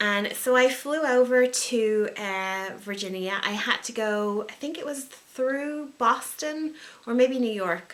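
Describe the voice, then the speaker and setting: Speaking with an American accent, a woman uses a high pitch and ordinary pitch variation. She goes at a very slow pace with hardly any pauses. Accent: Irish with some American twang. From Ireland. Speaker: wedding and event planner. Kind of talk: casual talk to camera.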